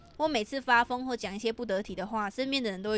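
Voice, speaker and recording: Very fast and animated, a woman talks with ordinary pitch variation. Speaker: podcast host. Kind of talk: casual chat. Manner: loud.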